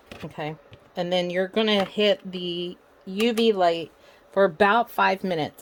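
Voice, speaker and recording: With noticeable background noise behind her, a woman speaks at a moderate pace with fairly even intonation. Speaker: crafter. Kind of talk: tutorial. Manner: soft-spoken.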